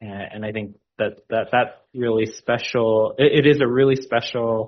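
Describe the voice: A man talks at a fairly slow pace. His intonation stays fairly even.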